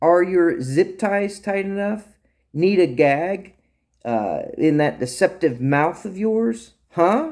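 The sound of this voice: Over a very clean recording with a silent background, a man uses a put-on character voice, high in pitch and slow in pace. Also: lively intonation, slightly mellow tone.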